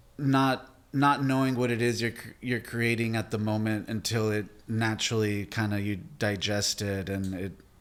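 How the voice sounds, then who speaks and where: A man talks at a fairly slow pace with a medium pitch. His intonation stays fairly even. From Texas border town, Mexican American. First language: Spanish. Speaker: artist. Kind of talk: interview.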